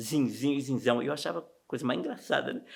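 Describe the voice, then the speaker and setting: In a very clean recording with a silent background, a man with a medium-pitched voice talks at a very fast pace. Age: 60s. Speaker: interviewee recalling local sports history. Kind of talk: documentary interview. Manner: casual, conversational.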